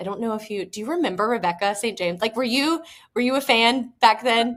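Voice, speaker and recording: In a very clean recording with a silent background, a woman with an American accent speaks with ordinary pitch variation. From US South, South Georgia. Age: 30s. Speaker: actress and screenwriter. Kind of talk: casual chat.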